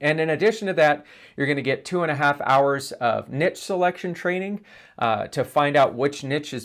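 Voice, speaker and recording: In an ordinary speaking voice with an American accent, a man of fairly high pitch talks at a moderate pace with ordinary pitch variation, recorded very cleanly over a silent background. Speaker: internet marketing trainer. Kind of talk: course introduction. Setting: on camera. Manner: casual, conversational.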